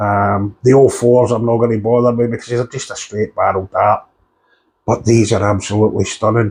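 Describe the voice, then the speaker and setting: The intonation is monotone and flat. The voice is somewhat breathy. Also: man. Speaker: darts coach and reviewer. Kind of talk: product review.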